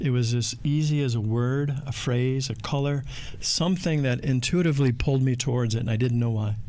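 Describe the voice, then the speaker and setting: At a fairly quick pace, a man of medium pitch speaks with fairly even intonation and very even loudness, in audible room echo. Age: 60s. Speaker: spiritual guest speaker, former corporate worker. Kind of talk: casual chat.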